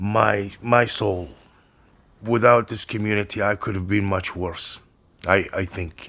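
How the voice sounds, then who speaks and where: Monotone, flat intonation marks this man's speech. He talks at a fairly slow pace. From Libya. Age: 60s. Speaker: homeless stone-stacking artist. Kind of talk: interview. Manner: halting.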